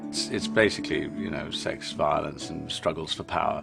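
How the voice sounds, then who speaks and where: A man delivers his words at a moderate pace while music plays in the background. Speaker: host / presenter of a staged speech reading. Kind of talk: casual anecdotal talk about his school history lessons.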